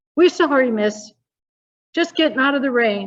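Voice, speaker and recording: In a put-on character voice, a woman speaks at a high pitch and a moderate pace. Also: lively intonation. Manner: talking very quickly.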